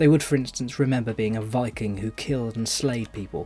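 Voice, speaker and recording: Somewhat breathy, a man speaks with a British accent. His tone is dark and mellow. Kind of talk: voice-over commentary.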